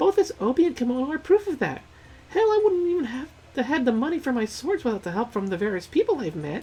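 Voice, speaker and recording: A put-on character voice, high-pitched, races along at a very fast pace with very wide pitch swings. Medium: game stream. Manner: breezy, casual.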